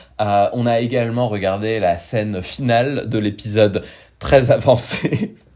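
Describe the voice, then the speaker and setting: Fairly slow delivery from a man with a dark, mellow tone and ordinary pitch variation. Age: 30s. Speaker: podcast co-host. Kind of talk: casual chat.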